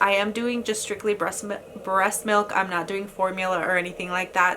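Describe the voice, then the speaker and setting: Against noticeable background noise, a woman at medium pitch talks at a moderate pace. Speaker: lifestyle vlogger. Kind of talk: product review vlog. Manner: casual with many fillers.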